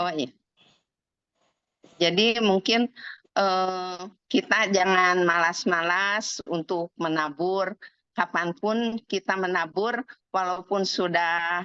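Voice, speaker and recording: A woman at a very slow pace, with long, frequent pauses and fairly even intonation. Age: 70s. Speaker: insurance agent. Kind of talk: testimony.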